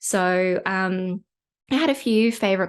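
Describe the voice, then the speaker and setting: A woman with a British accent speaks at medium pitch with ordinary pitch variation. The background is quiet. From UK. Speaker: podcast host, competition marketing expert. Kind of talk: podcast monologue, personal story.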